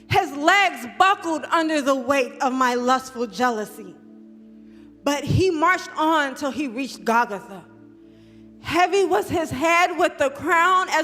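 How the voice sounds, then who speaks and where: With music playing behind her, a woman uses a raised, projected voice, high in pitch, with lively intonation. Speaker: spoken word poet. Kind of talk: spoken word poetry performance. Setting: church, live performance.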